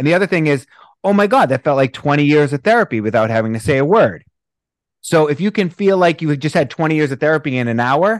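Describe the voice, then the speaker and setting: In a Boston accent, a man talks very fast at a fairly high pitch with very wide swings, the sound dry and close with no echo against a quiet background. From US Northeast, Boston. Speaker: breathwork instructor. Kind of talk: casual interview chat.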